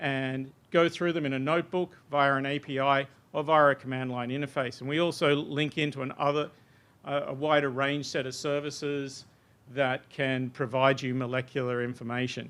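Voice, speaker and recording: The speaker has an Australian accent and keeps a moderate pace. The intonation stays monotone and flat. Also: man, fairly high pitch for a man. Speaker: software researcher presenting a demo. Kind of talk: technical workshop presentation.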